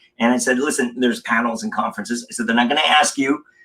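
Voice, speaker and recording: With an American accent, a man talks at a very fast pace. His pitch sits in the medium range. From Los Angeles, US. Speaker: communication coach. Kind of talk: casual interview chat. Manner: animated.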